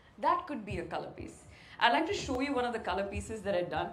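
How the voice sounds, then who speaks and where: There is noticeable background noise behind a woman with a high voice. Her pitch swings very widely. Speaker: sports presenter. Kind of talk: guest lecture talk.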